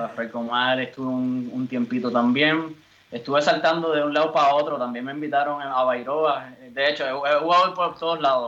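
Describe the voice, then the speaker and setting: A man speaks in a normal speaking voice, pitched fairly high. His pace is moderate and his intonation fairly even. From Puerto Rico. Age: 30s. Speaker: footballer. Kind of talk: interview.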